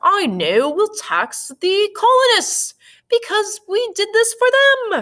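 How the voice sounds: Putting on a character voice in a British accent, a woman speaks at a fairly slow pace and an extremely high pitch.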